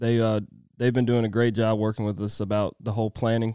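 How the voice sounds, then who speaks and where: With an American accent, a man is heard in a very clean recording with a silent background, the sound dry and close with no echo. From Virginia. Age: 20s. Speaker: construction foreman. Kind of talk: interview. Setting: studio.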